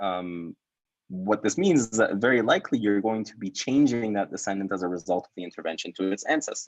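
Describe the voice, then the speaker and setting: A man's voice swings very widely in pitch as he talks at a fairly quick pace. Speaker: PhD researcher presenting his work. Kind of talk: academic talk with Q&A. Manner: repeats words, slight stammer.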